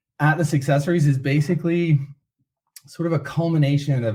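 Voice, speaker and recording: On a very clean recording with a silent background, a man with an American accent talks in a dark, mellow, somewhat breathy tone. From United States. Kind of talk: podcast interview.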